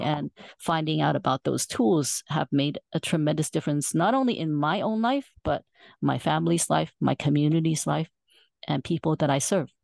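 A woman speaks at a moderate pace with a very deep, low pitch and vocal fry. The sound is dry and close with no echo, over a quiet background. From Southeast Asia (Malaysia, Singapore). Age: 50s. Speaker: nurse and financial educator. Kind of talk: interview.

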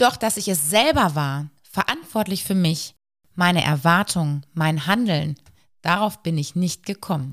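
On a very clean recording with a silent background, a woman with a normal speaking voice talks at a fairly slow pace in a fairly low pitch with lively intonation. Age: 40s. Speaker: psychological counselor and podcast host. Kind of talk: personal storytelling monologue.

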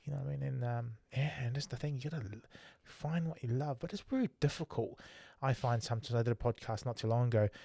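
A man with a New Zealand accent speaks at a very fast pace, with a medium pitch. His tone is dark and mellow, with ordinary pitch variation. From Tonga. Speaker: podcast host. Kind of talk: casual interview chat. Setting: live stream. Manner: friendly, casual.

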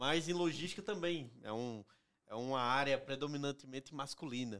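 With a northeastern Brazilian accent, a man talks at a moderate pace with ordinary pitch variation on a very clean recording and a silent background. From Northeast Brazil. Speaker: company executive. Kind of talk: casual interview.

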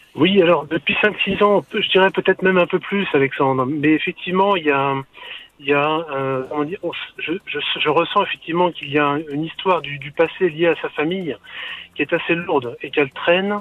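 Over noticeable background noise, a man talks fairly quickly in a high pitch with ordinary pitch variation. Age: 50s. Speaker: caller. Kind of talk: radio call-in. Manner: halting.

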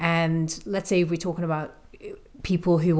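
With a Liverpool accent, a woman speaks in a fairly low pitch and a monotone, flat intonation. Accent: Liverpool (Scouse). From northern England, Liverpool. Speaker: fitness coach, podcast co-host. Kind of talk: casual chat.

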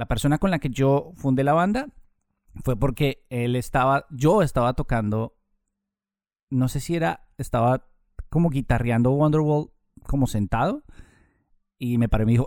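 A man's medium-pitched speech, with ordinary pitch variation, proceeds at a moderate pace. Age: 30s. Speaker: journalist and radio presenter. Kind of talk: casual interview. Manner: hesitant fillers and repetitions.

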